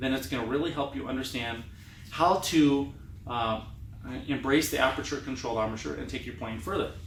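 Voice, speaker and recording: Fairly quick speech with lively intonation and audible room echo. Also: man. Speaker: trumpet teacher. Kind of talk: tutorial. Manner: fast.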